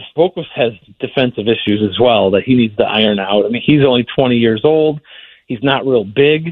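This man uses an ordinary speaking voice with ordinary pitch variation and a moderate pace. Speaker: newspaper hockey reporter. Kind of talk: casual sports interview.

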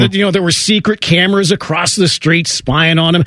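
A man's upbeat, energetic, high-pitched voice at a fairly quick pace. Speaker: radio host. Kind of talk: radio sports talk show hosting. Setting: studio. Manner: polished, upbeat, energetic broadcaster delivery.

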